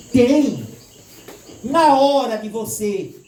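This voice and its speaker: Audible room echo and noticeable background noise surround a man speaking in an animated tone. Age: 60s. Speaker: spiritist lecturer. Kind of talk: lecture. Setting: stage with audience.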